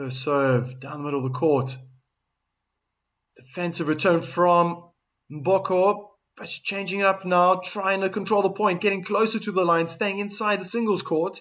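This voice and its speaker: With a South African accent and lively intonation, a man speaks fairly slowly in a high pitch against a quiet background. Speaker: tennis commentator. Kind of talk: live commentary. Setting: live stream. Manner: animated.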